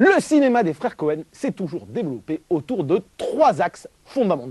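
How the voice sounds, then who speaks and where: The sound is dry and close, with no echo. A man talks at a moderate pace in a high pitch with very wide pitch swings. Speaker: film critic. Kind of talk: film review.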